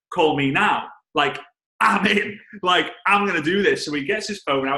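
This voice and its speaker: A man speaks with a strong Liverpool accent. His tone is animated. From England, Liverpool. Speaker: network marketing trainer. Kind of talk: storytelling on a team call. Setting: conference call.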